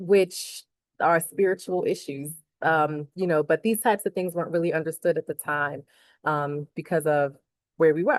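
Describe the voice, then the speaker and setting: Against a quiet background, a woman with an American accent and a fairly low pitch speaks at a moderate pace with fairly even intonation, in a dry, close sound with no echo. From US Northeast, Philadelphia. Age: 40s. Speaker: academic and author. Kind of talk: casual vlog monologue. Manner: hesitant, many fillers.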